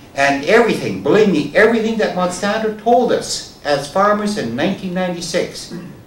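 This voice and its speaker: With noticeable background noise and audible room echo, a man talks at a fairly quick pace with lively intonation. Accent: Canadian Prairies. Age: 70s. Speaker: farmer. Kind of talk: public talk.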